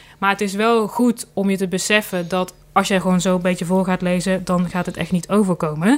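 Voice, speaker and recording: The pace is fairly quick. Hardly any pauses break up the speech. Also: woman, medium pitch for a woman. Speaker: voice-over artist. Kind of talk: interview. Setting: studio. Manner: enthusiastic.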